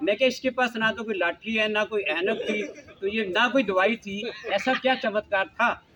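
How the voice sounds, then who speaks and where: Against noticeable background noise, a man with a high pitch talks in a raised, projected voice at a moderate pace with ordinary pitch variation. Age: 70s. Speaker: health talk speaker. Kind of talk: personal testimony talk. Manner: animated storytelling.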